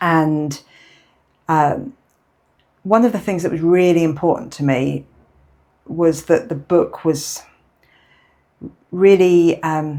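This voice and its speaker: A dark, mellow tone with ordinary pitch variation moves at a very slow pace, broken by long, frequent pauses. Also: woman. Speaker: author and therapeutic coach. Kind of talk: interview. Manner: slow with long pauses.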